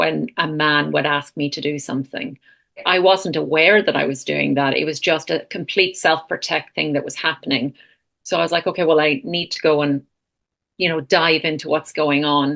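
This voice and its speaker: A woman with an Irish accent, very deep and low in pitch, with vocal fry, fairly even intonation and a moderate pace against a quiet background. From Ireland. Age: 40s. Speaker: counsellor and retreat founder. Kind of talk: podcast interview.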